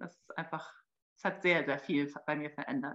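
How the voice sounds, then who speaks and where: Her pitch rises and falls in an ordinary way. The woman talks at a moderate pace. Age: 30s. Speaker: mother and marketing employee. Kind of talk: interview. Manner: halting, many fillers.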